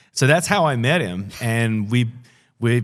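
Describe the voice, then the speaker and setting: In a very clean recording with a silent background, a man with an Australian accent speaks at a medium pitch with ordinary pitch variation. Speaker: pastor and author. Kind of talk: interview conversation.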